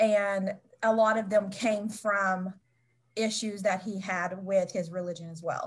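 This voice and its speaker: A somewhat breathy voice in an American accent, monotone and flat, at a fairly slow pace with big swings in loudness. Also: woman, medium pitch for a woman. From West Virginia. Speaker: author. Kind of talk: interview.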